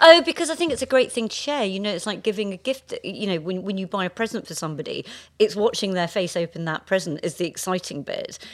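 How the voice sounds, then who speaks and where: Over a silent background in a very clean recording, a woman with a medium pitch talks very fast with hardly any pauses and very wide pitch swings. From Scotland. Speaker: fly fishing instructor. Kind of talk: casual interview chat.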